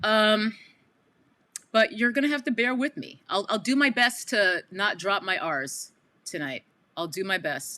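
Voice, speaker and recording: With a New York accent, a woman talks at a fairly slow pace in a bright, sharp tone, her fairly high pitch swinging very widely between long, frequent pauses. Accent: bridge and tunnel New York accent, non-rhotic. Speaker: live streamer commentator. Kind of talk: casual live stream commentary. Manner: casual, conversational.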